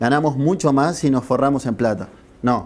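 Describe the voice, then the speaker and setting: A man with a Uruguayan accent, medium pitch, fairly quick delivery. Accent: Rioplatense Spanish (Uruguayan). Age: 30s. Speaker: journalist. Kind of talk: interview.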